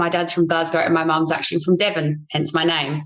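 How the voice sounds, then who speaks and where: A woman with an Australian accent talks at a fairly low pitch in a monotone, flat delivery. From South Australia, Whyalla. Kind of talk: casual roundtable chat.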